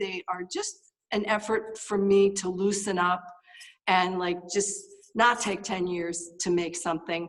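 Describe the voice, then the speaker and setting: A woman talks in an unremarkable speaking voice at a medium pitch. Her pace is fairly slow. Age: 60s. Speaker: artist. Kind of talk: artist talk. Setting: video call. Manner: casual, many fillers.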